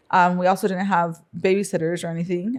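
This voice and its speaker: Her intonation is monotone and flat, her pitch fairly low for a woman. She speaks at a moderate pace in a Spanish accent. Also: very clean recording, silent background. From US Midwest, Council Bluffs, Iowa. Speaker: entrepreneur. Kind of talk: interview. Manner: hesitant, many fillers.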